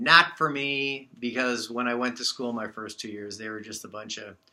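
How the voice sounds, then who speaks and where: Here a man speaks at a medium pitch and a moderate pace, with ordinary pitch variation. His tone is bright and sharp, on a very clean recording with a silent background. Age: 60s. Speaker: birthday celebrant giving a speech. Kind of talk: speech at a party. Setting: party with guests. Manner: halting, many fillers.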